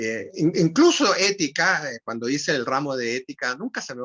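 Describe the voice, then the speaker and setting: A man's tone comes across bright and sharp. His intonation is lively. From Chile. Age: 70s. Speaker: writer and retired language professor. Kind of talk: interview conversation. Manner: halting, frequent repetitions and fillers.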